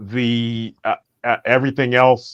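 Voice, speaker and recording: A man's medium-pitched, flat monotone at a very slow pace, with a dry, close sound and no echo. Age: 60s. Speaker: session participant. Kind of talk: casual chat. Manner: halting.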